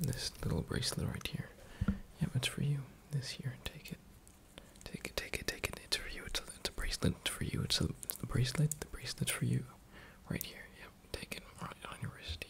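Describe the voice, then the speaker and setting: A man whispering at a fairly quick pace. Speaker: roleplay host. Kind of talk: soft-spoken ASMR roleplay. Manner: soft, hushed close-up ASMR voice. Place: home room. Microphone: webcam.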